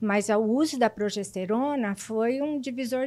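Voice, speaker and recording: This woman talks fairly slowly. Her voice sits fairly high. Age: 60s. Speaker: patient sharing her story. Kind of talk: testimony. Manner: halting, with repetitions.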